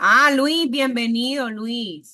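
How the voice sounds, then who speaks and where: A woman's bright, sharp voice in a Caribbean Colombian accent, with ordinary pitch variation and a quiet background. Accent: Caribbean Colombian (costeño). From Colombian Caribbean coast, Montería, Córdoba. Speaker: university lecturer. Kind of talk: online class lecture. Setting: video call. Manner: animated.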